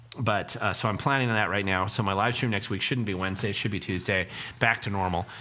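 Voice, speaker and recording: At a very fast pace, a man delivers fairly even intonation in a fairly low pitch with a bright, sharp tone. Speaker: political commentator, livestream host. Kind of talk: livestream Q&A chat. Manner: casual, hesitant fillers.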